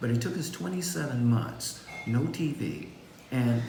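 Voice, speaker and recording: A medium-pitched male voice amid noticeable background noise and audible room echo. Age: old. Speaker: vegan cookbook author. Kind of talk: panel discussion.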